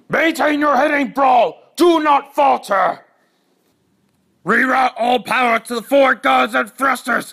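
A man shouts in a put-on character voice. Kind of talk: video game character dialogue. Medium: voice reel. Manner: commanding, menacing, shouted.

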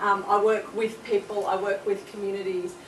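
A woman at a fairly slow pace, with audible room echo and light background noise. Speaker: speaker. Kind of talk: presentation talk. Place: classroom. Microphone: camera far.

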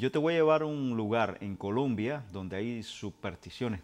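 Lively intonation carries a man's speech at a moderate pace. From Cuba. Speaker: TV show co-host. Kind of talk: casual chat. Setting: at home.

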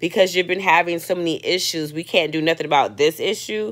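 A woman speaks at a fairly quick pace against a quiet background. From West Indian family, raised in Brooklyn, New York. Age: 40s. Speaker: performance artist and vlogger; vlogger. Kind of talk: personal video journal monologue. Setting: hotel room with children in background. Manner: casual, rambling. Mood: reflective, at times frustrated. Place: home room. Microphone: earbuds.

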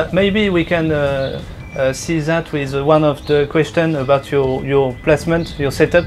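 A man's fairly high voice with a French accent, fairly slow, with fairly even intonation, long, frequent pauses and light background noise. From France. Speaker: bonsai YouTuber. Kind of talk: interview. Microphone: earbuds.

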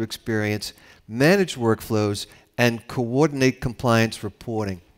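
A man speaks at a moderate pace, with a quiet background behind him. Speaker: panel moderator. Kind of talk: moderated panel discussion. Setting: stage with audience. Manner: formal. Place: hall. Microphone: headset.

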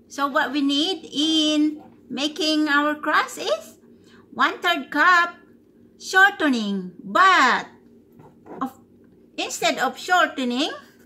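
A woman with a raised, projected voice speaks at a very slow pace with lively intonation over light background noise. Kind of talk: tutorial. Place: kitchen. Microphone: phone near.

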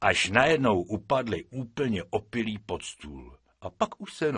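The voice heard here is an unforced reading voice.

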